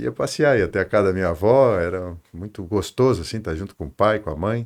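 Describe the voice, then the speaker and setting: Over a quiet background, a normal speaking voice moves at a fairly quick pace with lively intonation. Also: man, fairly low pitch for a man. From southern Brazil, Tubarão, Santa Catarina. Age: 60s. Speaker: construction company executive. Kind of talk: interview.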